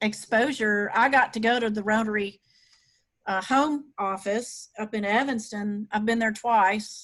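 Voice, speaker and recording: Against a quiet background, a woman with a Southern US accent talks at a fairly high pitch with fairly even intonation. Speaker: Rotary club executive director. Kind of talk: webinar presentation. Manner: casual with many fillers.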